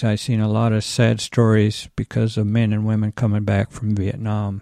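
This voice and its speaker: A man with an American accent, a plain, everyday voice, fairly even intonation and a moderate pace, recorded dry and close with no echo against a quiet background. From Iowa. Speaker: church volunteer. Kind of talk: interview.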